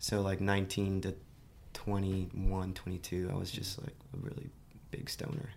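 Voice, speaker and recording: A somewhat breathy man talks with a fairly low pitch at a moderate pace. His intonation is lively. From Miami, Florida, US. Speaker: podcast guest, new parent sharing personal story. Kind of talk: casual chat. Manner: casual, conversational.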